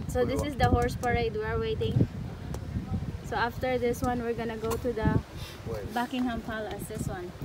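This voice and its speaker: A woman speaks with long, frequent pauses, the sound dry with no echo and loud background noise behind her. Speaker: travel vlogger. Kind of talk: casual vlog chat. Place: garden. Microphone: phone near.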